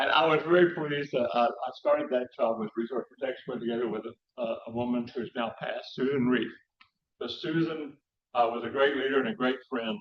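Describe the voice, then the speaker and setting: With a West Texas accent, a man speaks at a medium pitch and a fairly quick pace, his pitch varying in an ordinary way. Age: 70s. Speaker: conservation scientist and speaker. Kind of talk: public lecture. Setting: talk to a live audience. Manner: informal, many fillers and restarts.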